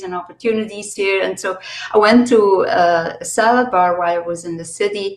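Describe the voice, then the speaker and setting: A woman speaks at medium pitch against noticeable background noise. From Belgium. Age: 60s. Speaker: holistic consultant. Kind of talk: casual chat.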